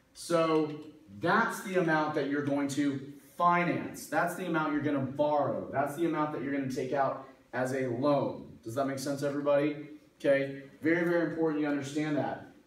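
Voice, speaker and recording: A man speaks at a moderate pace with fairly even intonation. There is audible room echo. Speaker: math instructor. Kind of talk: lecture. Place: classroom. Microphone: camera far.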